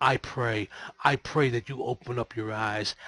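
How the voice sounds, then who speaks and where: A man's raspy, put-on character voice at medium pitch, with fairly even intonation, a moderate pace, and a dry, close sound with no echo. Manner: preachy, pious.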